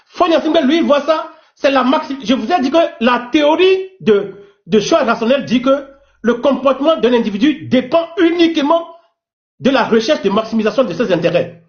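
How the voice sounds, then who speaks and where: This man's voice sits extremely high for a man. He talks at a moderate pace with lively intonation. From Togo. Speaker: teacher. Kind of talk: heated debate.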